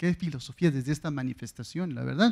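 Over a quiet background, a man with a fairly high pitch talks at a very fast pace. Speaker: audience member, teacher. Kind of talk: audience question. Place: hall. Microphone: handheld.

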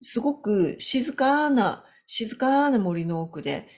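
The background is quiet. A somewhat breathy woman speaks with very wide pitch swings. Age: 50s. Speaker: business consultant; business coach. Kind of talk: solo video talk. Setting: home. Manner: halting. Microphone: webcam.

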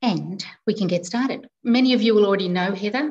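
A somewhat breathy woman with an Australian accent, at a fairly quick pace. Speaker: librarian host. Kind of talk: online event moderation. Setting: video call. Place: home room. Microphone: video call.

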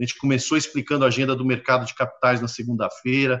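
Over a quiet background, a man talks at a very fast pace with a medium pitch. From Brazil. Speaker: panel moderator, exchange director; panel moderator. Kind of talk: live-streamed panel discussion. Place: office. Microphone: video call.

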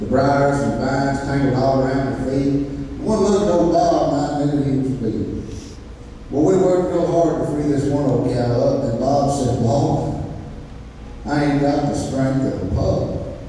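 With an American accent, a man speaks at a moderate pace in a fairly high voice with ordinary pitch variation. Strong room echo and light background noise surround him. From East Texas. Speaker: cowboy church preacher. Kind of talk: sermon with folksy personal storytelling to a church congregation. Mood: folksy, warm.

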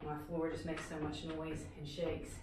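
A woman speaks in a room with audible echo and noticeable background noise. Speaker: fitness instructor. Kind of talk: workout instruction. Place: empty room. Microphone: camera far.

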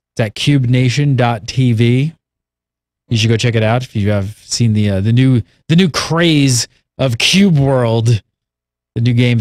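A dry recording with no echo, ordinary pitch variation and a quiet background. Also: man. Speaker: show host. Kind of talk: show host chat with sponsor read. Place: studio. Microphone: studio mic.

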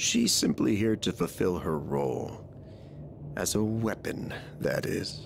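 Using a put-on character voice, a man speaks at a fairly slow pace with very even loudness while clear background noise runs behind him. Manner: menacing.

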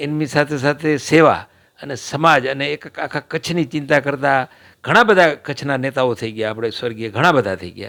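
A man with a fairly high pitch and a bright, sharp tone is heard on a very clean recording with a silent background. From Kutch, Gujarat (Vagad, Rapar). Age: 60s. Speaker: former electricity contractor and local politician. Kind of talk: interview.

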